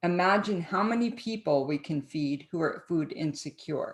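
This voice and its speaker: A woman with an American accent talks at a fairly slow pace with lively intonation against a quiet background. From New Jersey. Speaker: cooking show host. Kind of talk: educational talk to camera. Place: home room. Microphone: webcam.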